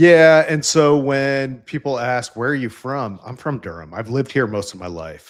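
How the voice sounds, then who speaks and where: A man with a slight Central New York accent talks with lively intonation and hardly any pauses. His volume swings a lot, on a very clean recording with a silent background. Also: medium pitch for a man, moderate pace. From upstate New York. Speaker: engineering leader in tech. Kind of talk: casual interview chat.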